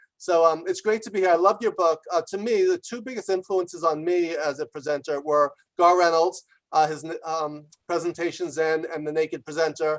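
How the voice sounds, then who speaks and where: Delivery comes at a fairly quick pace. The speaker talks in a New York accent. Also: man. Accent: New York American. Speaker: business author and executive. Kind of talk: congratulatory remarks on video call. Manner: fast.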